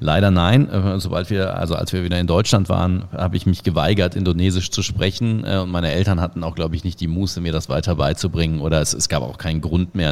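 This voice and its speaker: A man talks at a very fast pace in a very deep, low pitch. His intonation stays fairly even. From Germany, Cologne. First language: Indonesian (speaking German). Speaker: football commentator. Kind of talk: casual interview. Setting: video call.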